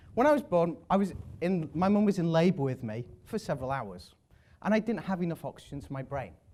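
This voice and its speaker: Speaking at a fairly quick pace, a man with an English accent has a high pitch and very wide pitch swings. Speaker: public speaker. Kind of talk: talk to an audience. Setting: stage with audience. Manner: fast.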